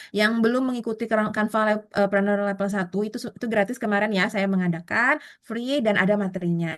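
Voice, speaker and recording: A woman at medium pitch, very fast pace, and ordinary pitch variation. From South Kalimantan, Indonesia. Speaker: online Canva course instructor. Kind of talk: online class, live tutorial. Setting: Zoom meeting. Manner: casual, filler-heavy with frequent 'eh'.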